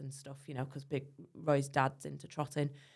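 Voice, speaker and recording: A woman with a very deep, low pitch and vocal fry speaks in a monotone, flat intonation over a quiet background. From northern England (Preston, Lancashire); northern England. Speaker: dairy farmer and social media creator; social media creator. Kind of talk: casual chat; interview answer. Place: studio. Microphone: studio mic.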